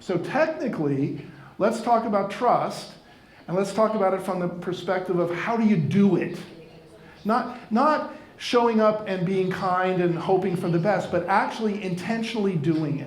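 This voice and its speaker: With audible room echo and noticeable background noise, a high-pitched man speaks at a moderate pace with ordinary pitch variation. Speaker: keynote speaker for financial advisors. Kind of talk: conference talk.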